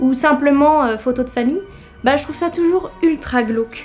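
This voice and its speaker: A woman at a moderate pace with ordinary pitch variation, music in the background. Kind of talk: humorous commentary to camera. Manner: casual, joking.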